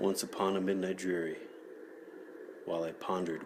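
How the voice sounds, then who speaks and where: A man is heard with noticeable background noise. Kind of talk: poetry reading. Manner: soft-spoken, relaxing, slow.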